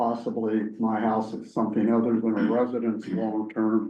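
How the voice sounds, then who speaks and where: A man speaks at a medium pitch and a fairly slow pace. His tone is dark and mellow, and there is audible room echo. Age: 80s+. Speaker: zoning applicant, property owner. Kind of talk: public hearing testimony.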